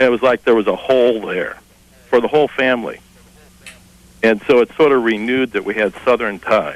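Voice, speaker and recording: With fairly even intonation and a medium pitch, a man speaks at a fairly quick pace, broken by long, frequent pauses. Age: 50s. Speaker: caller. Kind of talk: casual chat. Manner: halting.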